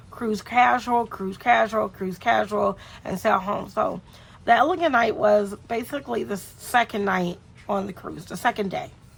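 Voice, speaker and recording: Noticeable background noise sits behind a woman's voice at a medium pitch. She moves at a moderate pace with lively intonation. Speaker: travel vlogger. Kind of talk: casual vlog walkthrough. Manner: chatty, informal.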